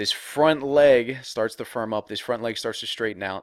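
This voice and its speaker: Recorded very cleanly with a silent background and a dry, close sound with no echo, a man talks in an animated tone at a medium pitch with ordinary pitch variation. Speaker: baseball hitting coach. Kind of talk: tutorial. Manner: fast.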